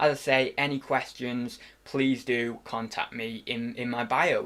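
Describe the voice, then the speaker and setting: This man speaks in a British accent at medium pitch with fairly even intonation, recorded very cleanly against a silent background. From UK. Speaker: online reseller. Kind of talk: tutorial. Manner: casual, with fillers.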